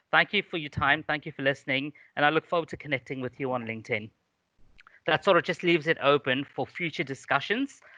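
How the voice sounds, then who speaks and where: Talking at a very fast pace, a man with a fairly high pitch and a bright, sharp tone uses ordinary pitch variation, recorded dry and close with no echo against a quiet background. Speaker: HR professional and university lecturer. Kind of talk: webinar presentation. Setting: live webinar. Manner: mumbling.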